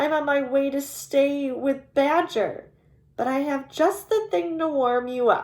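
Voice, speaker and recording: In a put-on character voice, a woman speaks at a high pitch and a fairly slow pace. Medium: read story. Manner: kindly, earnest.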